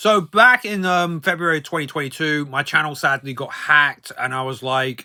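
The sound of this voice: Fairly high in pitch, a man speaks with a bright, sharp tone and fairly even intonation. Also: moderate pace.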